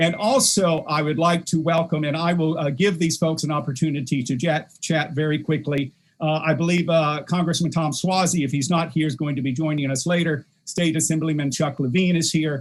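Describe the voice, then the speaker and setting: A man with an American accent talks at a fairly quick pace with hardly any pauses. He has a plain, everyday voice, fairly high in pitch, with fairly even intonation. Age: 60s. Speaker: politician. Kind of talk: event hosting. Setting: video call.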